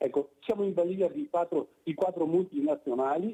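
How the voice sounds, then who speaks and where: A man speaks at a fairly quick pace in a dark, mellow tone. The sound is dry and close with no echo. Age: 70s. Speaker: caller. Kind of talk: phone-in call. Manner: halting.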